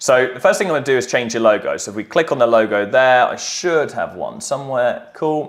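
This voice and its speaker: Fairly quick, lively delivery with hardly any pauses. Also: man, medium pitch for a man. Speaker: marketing agency trainer. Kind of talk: tutorial. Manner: fast; casual.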